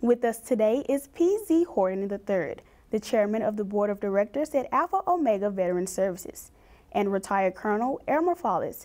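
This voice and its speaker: A woman's voice with very wide pitch swings at a moderate pace, quiet background behind her. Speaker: talk show host. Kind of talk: TV show introduction. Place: studio. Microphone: lapel.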